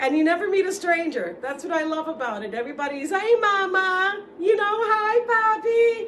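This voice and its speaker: Speaking at a fairly slow pace in a New York accent, a woman with an extremely high pitch uses an animated tone and very wide pitch swings, with audible room echo around her. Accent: New York City. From New York City, the Bronx. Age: 60s. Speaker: vlogger. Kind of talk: casual monologue.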